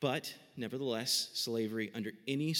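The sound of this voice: Someone reads in an unforced voice.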